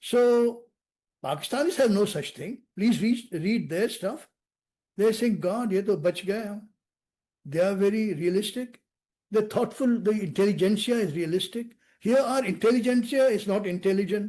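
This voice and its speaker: Moderate-paced speech from a man with an Indian accent, a high pitch, ordinary pitch variation and a dark, mellow tone. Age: 70s. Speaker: national security expert. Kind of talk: podcast interview. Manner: animated.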